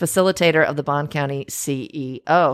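In a very clean recording with a silent background, a woman uses a plain, everyday voice with lively intonation. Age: 40s. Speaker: podcast host, chamber of commerce director. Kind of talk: casual interview chat. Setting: studio.

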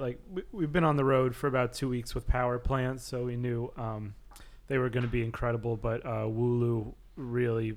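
Speaking at a moderate pace, the man has an ordinary speaking voice, pitched at a medium level with ordinary pitch variation. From New York City. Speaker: drummer in a band. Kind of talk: interview chat.

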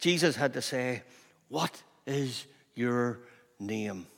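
A man is speaking. He has a Northern Irish accent. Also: very clean recording, silent background. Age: 60s. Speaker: pastor. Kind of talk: sermon.

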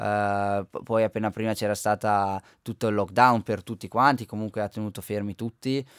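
Here is a man with fairly low pitch and an unremarkable speaking voice, talking at a moderate pace. The sound is dry and close with no echo, on a very clean recording with a silent background. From Val di Fiemme, Trentino, northern Italy. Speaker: Paralympic alpine skier. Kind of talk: radio interview. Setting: radio studio.

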